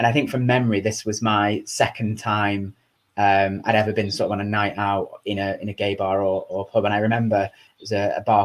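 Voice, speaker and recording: A man with a Lancashire accent speaks at a fairly low pitch in a monotone, flat intonation. The recording is very clean, with a silent background. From Chorley, Lancashire, England. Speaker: charity chief executive. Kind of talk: interview answer.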